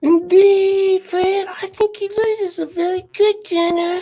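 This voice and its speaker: A squeaky put-on character voice at an extremely high pitch and a fairly slow pace. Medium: read story.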